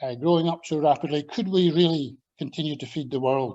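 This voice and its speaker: Speaking at a moderate pace, a man with a slight Scottish accent uses a fairly high pitch and fairly even intonation. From Scotland. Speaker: agricultural scientist and former lecturer. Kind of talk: invited talk with slides. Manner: hesitant, with fillers.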